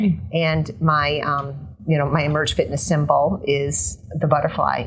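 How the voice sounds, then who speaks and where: Music plays behind a woman with a very deep, low pitch. She speaks at a fairly slow pace with ordinary pitch variation. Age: 50s. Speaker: fitness trainer. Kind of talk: interview answer.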